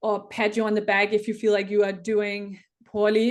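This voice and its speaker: A woman's medium-pitched voice in a Danish accent, monotone and flat, at a moderate pace against a quiet background. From Denmark. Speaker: Olympic rower. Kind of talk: interview. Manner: hesitant, many fillers and restarts.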